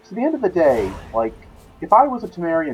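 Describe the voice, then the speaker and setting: Over background music, someone with an American accent talks at a very fast pace. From United States. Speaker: gaming video creator. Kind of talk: let's play commentary. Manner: casual, halting.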